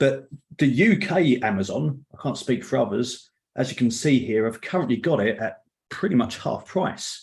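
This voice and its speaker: A man with a London accent speaks at a moderate pace in a medium pitch. His voice is somewhat breathy, with very wide pitch swings. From London area, England. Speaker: Excel trainer and author. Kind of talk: online meetup presentation. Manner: casual, with filler words.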